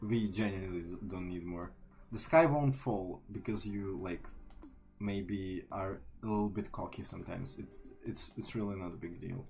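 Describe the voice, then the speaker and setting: A man speaks with a Ukrainian accent. His pitch is fairly low. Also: ordinary pitch variation, moderate pace. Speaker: artist streamer. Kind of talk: casual chat. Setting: live stream. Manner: loud; halting.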